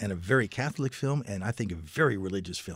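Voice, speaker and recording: Talking at a very fast pace, a man uses a fairly low pitch with an American accent. The recording is very clean, with a silent background. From Maryland, US. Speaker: author and film historian. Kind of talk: interview.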